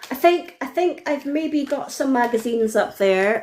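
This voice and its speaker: The intonation is lively. The pace is fairly slow. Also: woman. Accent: Scottish. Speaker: fan guest. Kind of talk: casual chat. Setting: live video stream.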